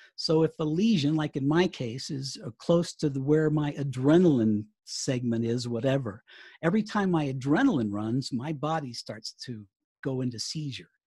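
With an American accent, the speaker talks at a moderate pace over a quiet background. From US South. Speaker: writer and former radio broadcaster. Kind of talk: casual interview chat.

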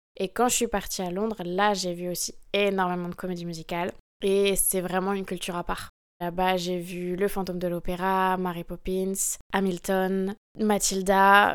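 Recorded very cleanly against a silent background, a woman speaks at a moderate pace and medium pitch in a monotone, flat intonation. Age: 20s. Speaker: professional dancer. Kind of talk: interview.

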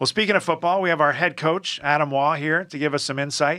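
A very fast, bright and sharp male voice, fairly high in pitch, on a very clean recording with a silent background. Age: 50s. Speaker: athletic director hosting a college sports podcast. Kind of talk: casual chat.

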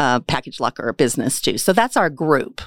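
A woman with a Midwestern American accent at a moderate pace, dry and close with no echo, in a very clean recording, silent background. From western Kansas. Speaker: business owner and chamber board member. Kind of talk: casual interview.

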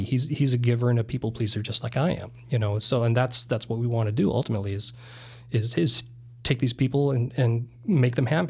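With an American accent, a man speaks somewhat breathily at a fairly quick pace on a very clean recording with a silent background. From US Midwest, eastern South Dakota. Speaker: real estate broker. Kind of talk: casual interview.

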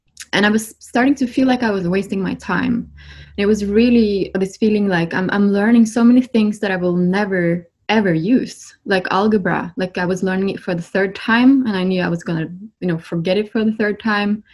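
A somewhat breathy woman with a Norwegian accent, medium pitch, ordinary pitch variation and a fairly quick pace. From Norway. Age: 30s. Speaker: spiritual healer. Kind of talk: casual interview.

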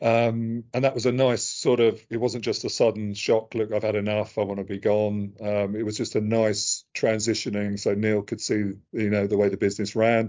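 A man talks at a moderate pace with hardly any pauses. His pitch is fairly low and his intonation monotone and flat. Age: 50s. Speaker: finance executive. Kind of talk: interview. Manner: hesitant with fillers.

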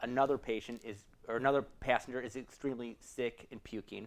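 With an American accent and a plain, everyday voice, a man of medium pitch speaks at a fairly quick pace using fairly even intonation. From Chicago suburbs. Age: 40s. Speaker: emergency physician. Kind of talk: casual interview.

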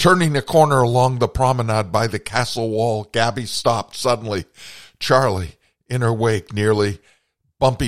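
This is plain reading aloud with fairly even intonation over a quiet background.

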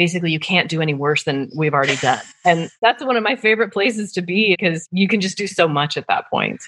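In an American accent, a woman with a fairly low pitch talks at a very fast pace with hardly any pauses. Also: lively intonation. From US Midwest, Nebraska. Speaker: fraud and risk professional. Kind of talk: casual interview chat.

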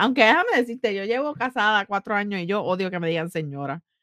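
A woman speaks at a very fast pace in a medium pitch, her tone animated and her intonation lively. The recording is very clean, with a silent background. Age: 30s. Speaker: podcast co-host. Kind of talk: casual chat.

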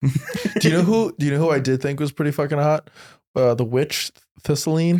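With an American accent, a man speaks at a fairly quick pace and a fairly high pitch, with ordinary pitch variation and very even loudness. The sound is dry and close with no echo. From New Jersey. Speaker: comedian. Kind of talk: casual chat.

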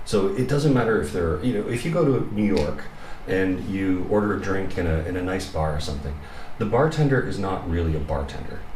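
Very deep, low pitch from a man with a Canadian accent, lively intonation and a fairly quick pace amid noticeable background noise. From Canada, Toronto. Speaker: expat in Japan. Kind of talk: casual chat. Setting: studio.

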